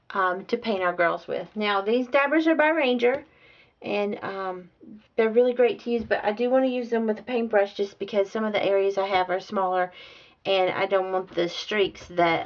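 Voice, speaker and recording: A woman with a Southern US accent talks at a medium pitch. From US South. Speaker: art instructor. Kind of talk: tutorial. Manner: casual, hesitant with fillers.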